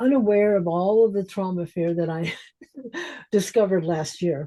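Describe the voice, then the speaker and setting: At a moderate pace, a woman talks with a dark, mellow tone, a medium pitch and ordinary pitch variation. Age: 70s. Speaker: transformational coach. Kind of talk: interview conversation.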